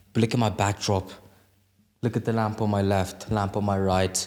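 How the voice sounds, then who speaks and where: The audio is very clean, the background silent. At a fairly slow pace, a man talks. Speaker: podcast host. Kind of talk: casual chat. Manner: energetic, lively.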